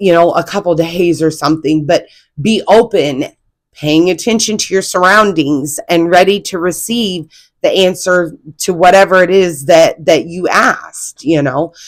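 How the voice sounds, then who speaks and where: On a very clean recording with a silent background, the speech moves at a fairly slow pace with ordinary pitch variation. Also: woman. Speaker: spiritual content creator. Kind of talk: casual spiritual talk to camera. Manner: halting, many fillers and restarts.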